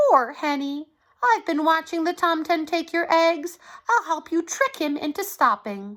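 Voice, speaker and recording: Putting on a squeaky character voice, a woman speaks at a moderate pace in an extremely high pitch, recorded very cleanly over a silent background. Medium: read story.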